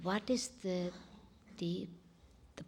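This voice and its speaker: A woman talks in a somewhat breathy voice. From India, Punjabi family. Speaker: spiritual speaker. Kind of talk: spiritual talk to an audience.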